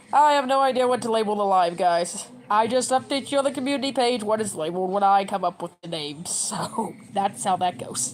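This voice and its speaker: Amid noticeable background noise, a woman with a medium-pitched voice talks at a fairly quick pace with lively intonation and hardly any pauses. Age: 30s. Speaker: livestreamer. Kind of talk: casual livestream chat. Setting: at home. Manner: fast; animated.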